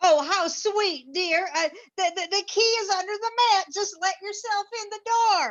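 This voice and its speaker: A woman's put-on character voice at an extremely high pitch, delivered at a moderate pace. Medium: stage play. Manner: quavering, halting.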